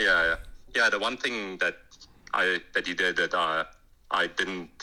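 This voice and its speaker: The speaker has a strong South African accent. The pace is fairly slow. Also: man. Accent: strong Afrikaans. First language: Afrikaans. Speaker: author. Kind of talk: casual chat.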